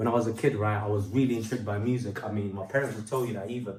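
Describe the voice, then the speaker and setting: With audible room echo, a man speaks in a somewhat breathy, medium-pitched voice and a monotone, flat intonation. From London. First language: Portuguese. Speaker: rapper and singer. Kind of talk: testimony. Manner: casual, with many fillers.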